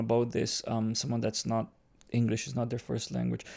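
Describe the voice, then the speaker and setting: With a Romanian accent, a man speaks at a moderate pace and a medium pitch. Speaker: podcast host. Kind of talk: casual chat. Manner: halting.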